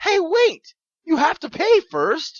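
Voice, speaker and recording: An extremely high, squeaky, female-sounding put-on character voice. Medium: read story. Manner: sarcastic, deadpan.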